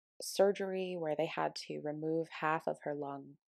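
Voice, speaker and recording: The recording is very clean and the background is silent. A woman talks with a very deep, low pitch. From Colorado. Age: 20s. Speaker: podcast host, wellness coach. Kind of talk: personal storytelling monologue.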